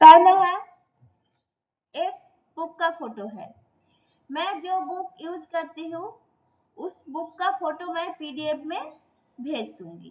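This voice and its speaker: An extremely high-pitched woman's voice with ordinary pitch variation and long, frequent pauses. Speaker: Sanskrit teacher. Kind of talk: lecture. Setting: online class.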